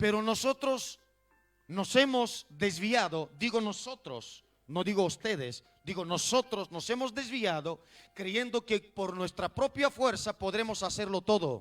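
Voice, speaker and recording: Over music in the background, a man speaks fairly slowly with a high pitch and lively intonation, the sound dry and close with no echo. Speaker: pastor. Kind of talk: sermon.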